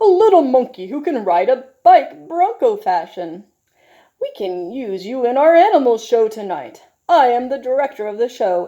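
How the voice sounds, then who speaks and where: Putting on a character voice, a woman speaks at a moderate pace in a high pitch with very wide pitch swings against a quiet background. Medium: read story. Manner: firm, directive.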